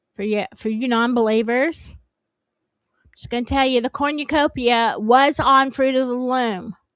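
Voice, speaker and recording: At a very slow pace, a woman with a high pitch speaks in a Southern US accent with ordinary pitch variation, the recording very clean with a silent background. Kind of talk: casual livestream chat. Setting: livestream. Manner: halting.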